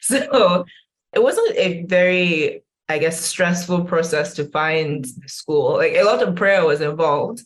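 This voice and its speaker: A woman's fairly low, somewhat breathy voice at a fairly slow pace. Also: ordinary pitch variation. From northern Nigeria, Kano. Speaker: social science researcher and educator. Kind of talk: interview conversation.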